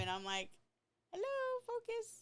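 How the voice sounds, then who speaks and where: The woman's delivery runs at a fairly quick speed. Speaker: podcast co-host. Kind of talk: casual chat. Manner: loud, excitable; animated, varied inflection.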